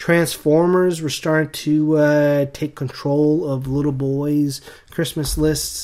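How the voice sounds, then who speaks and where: The voice has a dark, mellow tone and a monotone, flat intonation, moving at a very slow pace. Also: man, fairly high pitch for a man. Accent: American. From eastern Canada, rural area along the US border. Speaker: podcast co-host. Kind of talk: casual chat.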